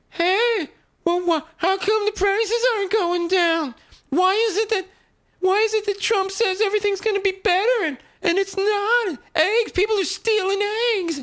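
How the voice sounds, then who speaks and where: In a put-on character voice at an extremely high pitch, the speaker sounds whiny, with a whiny tone at a moderate pace. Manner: whiny, mocking.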